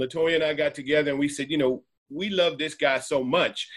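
The speaker is a man with an American accent. He talks at a moderate pace. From Washington, D.C. area, US (Jamaican parents). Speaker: church member and friend of the pastor. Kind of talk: casual conversation. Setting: video call. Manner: halting, repetitive.

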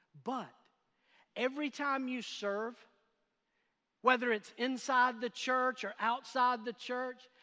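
A man speaks in a raised, projected voice at an extremely high pitch, bright and sharp in tone with monotone, flat intonation. His pace is very slow with long, frequent pauses over a quiet background. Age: 50s. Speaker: pastor. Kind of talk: sermon. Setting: church with in-person and online audience.

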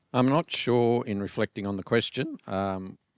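Someone with an Australian accent talks at a fairly slow pace. The sound is dry and close with no echo, on a very clean recording with a silent background. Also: man. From Australia, rural New South Wales. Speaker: church member. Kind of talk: interview. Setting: church.

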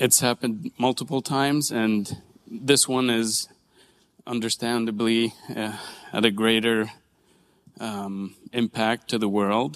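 A man talks at a very slow pace with long, frequent pauses and fairly even intonation, in a dry, close sound with no echo. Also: medium pitch for a man. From Israel, Nazareth (Palestinian community). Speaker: church member sharing personal testimony. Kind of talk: testimony. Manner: halting.

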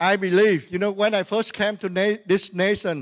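The recording is very clean, with a silent background. A man speaks at a high pitch. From Vietnam. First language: Vietnamese. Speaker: pastor. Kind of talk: sermon. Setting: church. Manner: animated.

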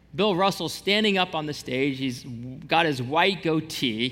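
There is audible room echo as a man speaks with a fairly high pitch and ordinary pitch variation. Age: 40s. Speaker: pastor. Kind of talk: sermon. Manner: casual, conversational.

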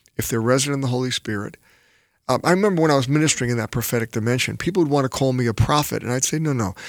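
On a very clean recording with a silent background, a man speaks at a medium pitch. He has ordinary pitch variation and a slight New York accent. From New York City. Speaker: pastor. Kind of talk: casual chat.

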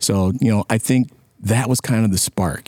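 A man with an American accent speaks with a dark, mellow tone and fairly even intonation, the sound dry and close with no echo. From US Midwest, Sterling, Illinois. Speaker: community organization communications volunteer. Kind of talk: casual interview.

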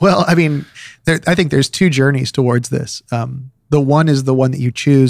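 A man with an unremarkable speaking voice talks at a fairly quick pace. His pitch varies in an ordinary way. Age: 40s. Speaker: pastor. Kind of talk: casual chat.

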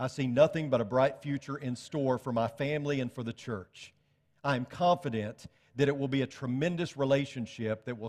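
A man in a plain, everyday voice, at medium pitch with ordinary variation and a moderate pace, in a very clean recording with a silent background. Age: 40s. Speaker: preacher. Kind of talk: sermon. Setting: church.

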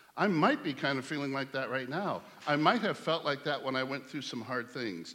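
The text is plain reading aloud. No more than the words is delivered.

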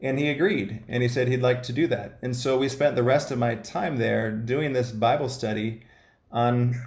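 A man with an American accent speaks in a medium-pitched, somewhat breathy voice, his intonation fairly even against audible room echo. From US Midwest, Ohio. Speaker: missionary running a halfway house. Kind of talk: interview, personal testimony.

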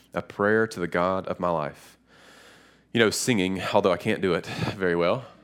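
A man with a Western North Carolina accent speaks at a very deep, low pitch and a moderate pace, with fairly even intonation. He takes long, frequent pauses in a very clean recording with a silent background. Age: 30s. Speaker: pastor. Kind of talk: sermon. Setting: church.

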